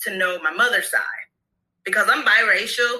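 A bright, sharp-toned woman's voice at medium pitch, with an American accent and a moderate pace. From Brooklyn and Florida. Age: 30s. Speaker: hair care entrepreneur. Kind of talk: casual interview.

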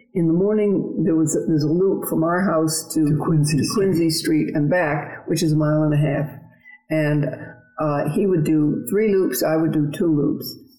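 A woman speaks at a moderate pace with a very deep, low pitch. Music plays behind her. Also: ordinary pitch variation, very even loudness. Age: 80s. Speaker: retired marathon champion. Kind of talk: interview, recounting personal story.

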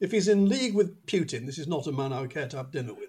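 A man speaks with a Manchester accent. His pitch swings very widely. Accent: northern English (Mancunian). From northern England, Manchester. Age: 70s. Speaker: football podcast host, author. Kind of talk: casual chat.

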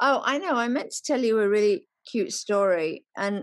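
Speaking at a moderate pace, a woman talks with an English Midlands accent. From England, Nottingham. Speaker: celebrity stylist. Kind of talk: casual chat.

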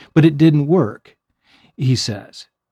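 A dark, mellow tone comes at a fairly slow pace. The sound is dry and close with no echo, on a very clean recording with a silent background. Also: man. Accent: American. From US Midwest, rural Missouri. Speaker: counselor. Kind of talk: casual chat.

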